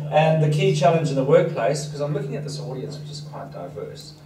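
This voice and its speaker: Noticeable background noise and audible room echo fill the recording. A man with a fairly high pitch talks at a very fast pace. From southern Africa (Zulu-speaking area). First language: Danish. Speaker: leadership consultant and author. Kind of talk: seminar talk.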